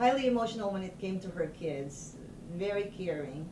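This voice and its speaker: With audible room echo and noticeable background noise, a woman speaks at a moderate pace in a fairly low pitch with lively intonation. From Philippines. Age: 60s. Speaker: doctor. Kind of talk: oral history interview. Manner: halting.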